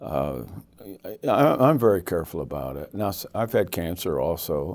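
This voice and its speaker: With an American accent, a man talks at a moderate pace in a very deep, low pitch with vocal fry. His pitch swings are very wide. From United States. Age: 70s. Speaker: evangelist. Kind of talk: interview. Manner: halting.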